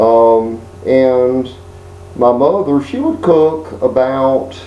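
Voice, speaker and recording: Through noticeable background noise and audible room echo, a man with an American accent speaks at a very slow pace with ordinary pitch variation. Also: medium pitch for a man. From Texas, Houston area. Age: 50s. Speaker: video blogger. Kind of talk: personal monologue. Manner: halting, many fillers.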